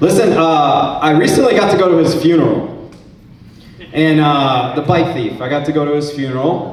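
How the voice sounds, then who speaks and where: Noticeable background noise and audible room echo are both present. Through them, a man speaks at a moderate tempo. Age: 40s. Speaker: stand-up comedy student. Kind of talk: stand-up. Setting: stage with audience.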